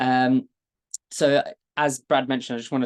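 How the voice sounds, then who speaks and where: The recording has a dry, close sound with no echo as a man at medium pitch speaks at a moderate pace with fairly even intonation. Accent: British. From London, England. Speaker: data engineer, product expert. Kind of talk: webinar presentation.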